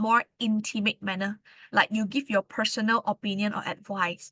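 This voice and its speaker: At a moderate pace, a woman speaks with a fairly high pitch and a bright, sharp tone, the sound dry and close with no echo and the background quiet. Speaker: English tutor. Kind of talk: lecture. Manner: loud.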